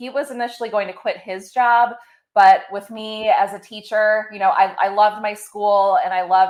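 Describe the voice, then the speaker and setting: Speaking at a moderate pace with a slight Midwestern accent, a woman keeps a medium pitch and fairly even intonation. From Ohio. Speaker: pet care business owner. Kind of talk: interview.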